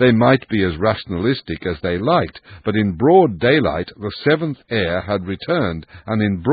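This is an unforced reading voice. It carries the whole clip.

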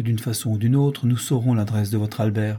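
Plain reading aloud keeps a fairly even intonation.

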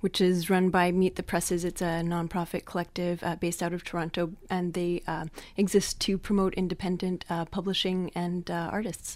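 With hardly any pauses, a woman speaks in a fairly low pitch and monotone, flat intonation on a very clean recording with a silent background. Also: moderate pace. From Quebec, Montreal. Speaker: poet and environmental activist. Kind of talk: interview and poetry reading. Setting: radio studio.

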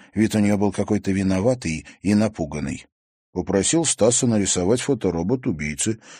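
The speaker does plain reading aloud. Behind the voice, the background stays quiet.

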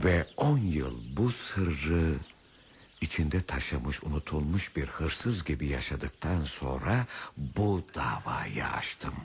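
A man in a put-on character voice speaks slowly at an extremely low pitch, with vocal fry and big pitch swings.

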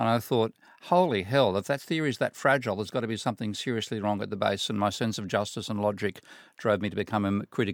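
A man talks at a very fast pace with fairly low pitch and ordinary pitch variation, the sound dry and close with no echo on a very clean recording with a silent background. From Australia, Sydney. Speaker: economics professor. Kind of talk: panel discussion. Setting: studio.

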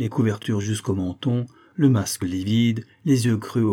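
The clip features a natural reading voice. Nothing else stands out.

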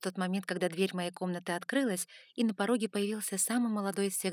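The text is simply read out loud.

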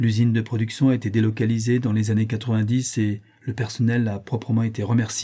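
A natural voice reads the passage aloud.

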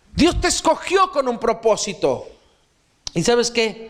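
A man talks at a fairly slow pace. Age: 40s. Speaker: pastor. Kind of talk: sermon.

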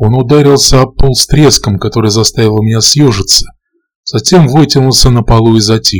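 Over a quiet backdrop, an unforced reading voice, its pitch varying in an ordinary way.

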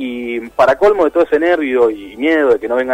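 A man with a slightly husky edge speaks in an enthusiastic tone, the sound dry and close with no echo.

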